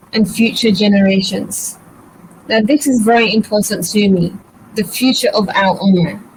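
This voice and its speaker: A woman speaks at a moderate pace in a British accent, her pitch fairly high and her loudness very even, with noticeable background noise. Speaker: birth educator, doula. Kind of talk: live webinar presentation. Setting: online live session.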